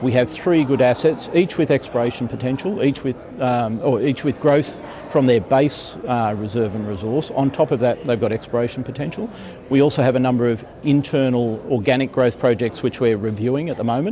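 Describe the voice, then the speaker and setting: Over noticeable background noise, a man with an Australian accent speaks at a medium pitch with ordinary pitch variation. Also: fairly quick pace. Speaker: mining company executive. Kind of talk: conference interview. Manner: hesitant, many fillers.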